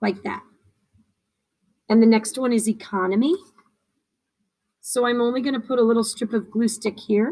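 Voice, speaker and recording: A dark, mellow, somewhat breathy voice speaks at a moderate pace. Long pauses come often. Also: woman. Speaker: teacher. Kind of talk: tutorial.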